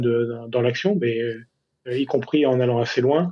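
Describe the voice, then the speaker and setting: This is a man with a medium-pitched voice. He talks at a moderate pace. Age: 60s. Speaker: climate scientist and public agency official. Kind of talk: radio interview. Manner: halting, many repetitions and hesitations.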